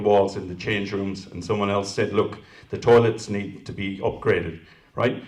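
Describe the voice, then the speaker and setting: The speaker has an Irish accent. The recording carries audible room echo. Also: man. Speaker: council candidate. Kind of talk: candidate forum answers.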